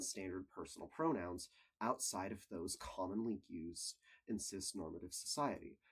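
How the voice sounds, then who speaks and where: With lively intonation and a moderate pace, a man speaks in a normal speaking voice. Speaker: college student. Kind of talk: scripted video essay narration.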